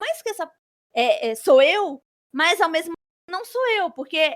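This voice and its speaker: The voice moves at a moderate pace with very wide pitch swings, in a dry, close sound with no echo. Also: woman. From Brazil, Espírito Santo. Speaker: author and flight attendant. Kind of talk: interview.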